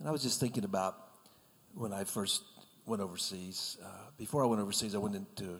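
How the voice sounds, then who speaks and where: With an American accent, a man talks very fast at a fairly low pitch, his intonation fairly even. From South Carolina. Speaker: missionary. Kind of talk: casual chat. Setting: radio studio.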